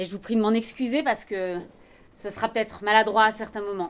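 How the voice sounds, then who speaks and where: A shaky woman's voice, fairly high in pitch, with fairly even intonation at a moderate pace. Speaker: philosopher, commission member, conference speaker. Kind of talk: conference talk. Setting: conference with audience. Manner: trembling voice.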